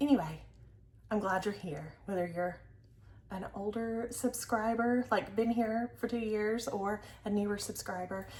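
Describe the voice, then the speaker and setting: A woman with a Southern US accent, medium pitch, ordinary pitch variation, a somewhat breathy quality and moderate pace. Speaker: crafting vlogger. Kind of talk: casual chat. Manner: casual, filler-heavy.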